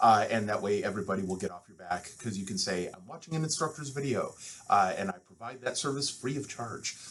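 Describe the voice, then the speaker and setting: Audible room echo surrounds a man with an American accent at a medium pitch. He moves at a fairly quick pace with lively intonation and big swings in loudness. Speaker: university instructor. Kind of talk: lecture. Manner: fast.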